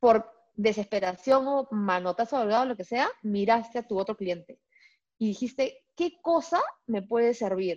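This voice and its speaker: An animated tone at a fairly slow pace with ordinary pitch variation and a dry, close sound with no echo. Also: woman, fairly high pitch for a woman. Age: 40s. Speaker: business coach and trainer. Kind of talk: casual interview chat.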